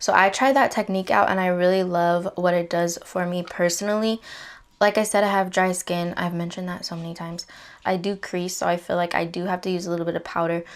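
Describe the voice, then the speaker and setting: Quiet and very fast, a woman speaks at a fairly low pitch with monotone, flat intonation. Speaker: beauty vlogger. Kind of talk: makeup tutorial. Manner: casual, chatty; trying to be quiet.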